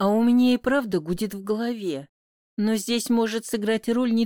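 A natural reading voice with fairly even intonation in a quiet background.

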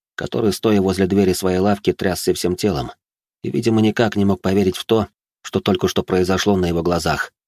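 It is a natural reading voice with fairly even intonation over a quiet background.

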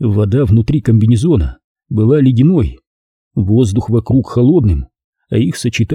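The clip is plain reading aloud. Little sound comes from the background.

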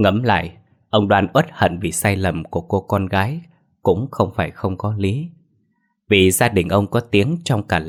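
Over a quiet background comes an unforced reading voice, its pitch varying in an ordinary way.

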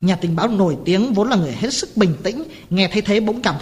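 The reading voice here is natural. Pitch rises and falls in an ordinary way.

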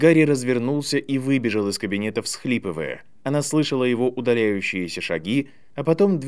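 Someone reads aloud. The voice stays natural.

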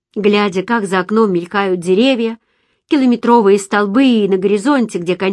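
Ordinary pitch variation marks this plain reading aloud over a quiet background.

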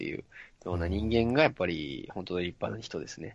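A man talks at a fairly quick pace with lively intonation. His pitch is very deep and low. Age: 30s. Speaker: voice training adviser. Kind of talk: casual chat.

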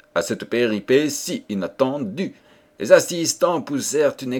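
A speaker reads aloud in a natural voice.

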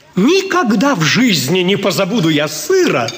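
In a put-on character voice, a man speaks high and fairly bright at a moderate pace, his pitch swinging very widely.

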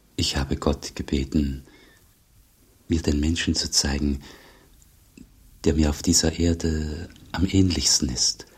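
In a put-on character voice, a man speaks at an extremely low pitch with a husky, rough edge, slowly and with long, frequent pauses, his intonation fairly even.

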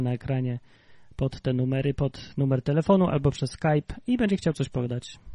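The voice moves at a very fast pace, somewhat breathy, with a dark, mellow tone and ordinary pitch variation. The sound is dry and close, with no echo. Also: man. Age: 30s. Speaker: livestream podcast host. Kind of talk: casual chat.

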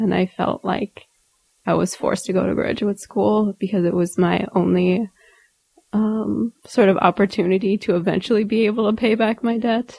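In a dry, close sound with no echo, a woman with a Midwestern American accent talks at a moderate pace, her dark, mellow tone carrying vocal fry and fairly even intonation. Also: medium pitch for a woman. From rural Indiana, US Midwest. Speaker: political theory academic. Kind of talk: interview.

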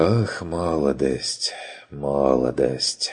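A man uses a put-on character voice. His pitch sits very deep and low. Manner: dreamy, wistful, drawn out.

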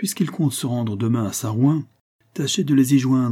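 An unforced reading voice with ordinary pitch variation over a quiet background.

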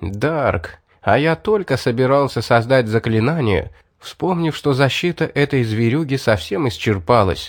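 What you hear is plain reading aloud.

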